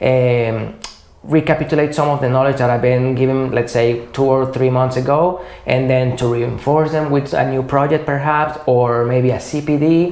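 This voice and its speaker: At a moderate pace, a man with medium pitch speaks with very even loudness and fairly even intonation, amid audible room echo and noticeable background noise. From Venezuela. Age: 30s. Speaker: materials engineer. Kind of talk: interview conversation. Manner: hesitant, with fillers.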